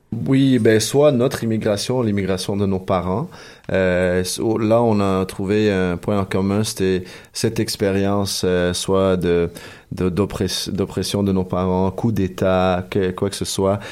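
Speaking at a very slow pace, a man uses a fairly low pitch with fairly even intonation. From Chile. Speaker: hip-hop musician. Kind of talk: radio interview. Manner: halting.

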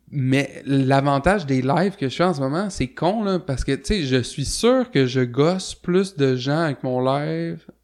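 A man has a normal speaking voice, fairly high in pitch. He talks at a fairly slow pace with lively intonation. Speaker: punk musician and show promoter. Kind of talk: casual interview.

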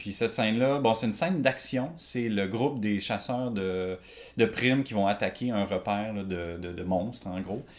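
In a Quebec accent, a man talks at a moderate pace in a fairly low pitch with ordinary pitch variation. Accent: Québécois French. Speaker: illustrator and comic artist. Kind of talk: casual chat. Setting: artist's studio.

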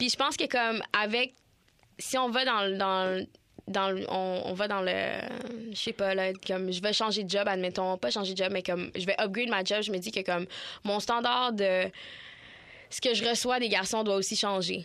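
Bright, sharp in tone, a woman speaks at a moderate pace and medium pitch. Her intonation is fairly even, with long, frequent pauses. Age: 20s. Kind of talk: casual chat.

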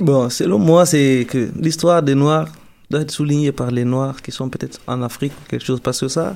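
A man with a plain, everyday voice speaks at a moderate pace with fairly high pitch, ordinary pitch variation and big swings in loudness. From Guinea, Peul from Télémélé. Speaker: university student. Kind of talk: radio interview.

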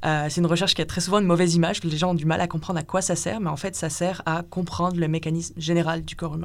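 A woman with a fairly low pitch talks at a very fast pace in a monotone, flat intonation, with hardly any pauses. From northern France. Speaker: PhD researcher in experimental medicine. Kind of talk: interview.

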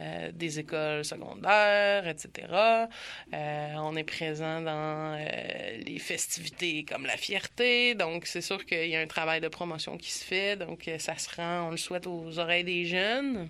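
Speaking at a very slow pace, a woman has a fairly low pitch, a bright, sharp tone and ordinary pitch variation. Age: 30s. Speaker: LGBTQ youth community worker. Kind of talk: interview.

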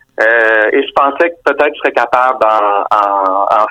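This man's medium-pitched voice has a bright, sharp tone and fairly even intonation. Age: 40s. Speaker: novelist. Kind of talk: interview. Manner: halting.

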